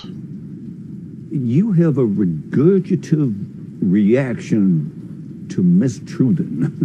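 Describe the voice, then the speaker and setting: Through clear background noise, a man in a put-on character voice drawls very slowly at a fairly high pitch with a strong Southern US accent. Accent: pronounced Southern drawl. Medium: short film. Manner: drawling, florid.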